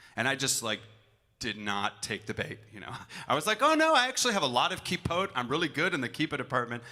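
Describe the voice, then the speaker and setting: With an American accent, a man speaks at a very fast pace in a bright, sharp tone with lively intonation, on a very clean recording with a silent background. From US Midwest, Milwaukee. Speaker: cantor. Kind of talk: storytelling between songs at a concert.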